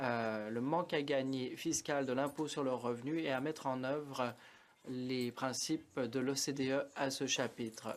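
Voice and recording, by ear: At a medium pitch, a man speaks with fairly even intonation.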